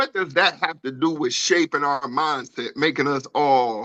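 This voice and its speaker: Recorded with a dry, close sound and no echo against a quiet background, a man speaks at a fairly high pitch with a bright, sharp tone and lively intonation. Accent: American. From Detroit, US Midwest. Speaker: podcast co-host, navy veteran. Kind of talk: casual chat.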